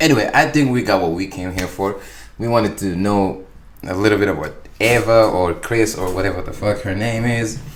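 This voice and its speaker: Audible room echo surrounds a man's fairly low-pitched voice. He speaks at a fairly quick pace. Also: ordinary pitch variation. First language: not English. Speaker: YouTube reactor. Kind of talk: reaction commentary. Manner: halting.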